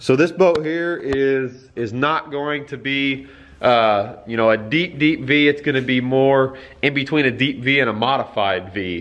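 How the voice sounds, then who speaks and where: A man's voice at a fairly slow pace, with ordinary pitch variation. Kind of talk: casual vlog chat. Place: garage. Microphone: phone near.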